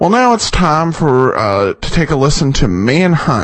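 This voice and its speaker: This man talks at a fairly slow pace with a fairly high pitch. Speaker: podcast host of old-time radio show. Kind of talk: casual host intro and outro, informal commentary. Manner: conversational, hesitant with many filler words.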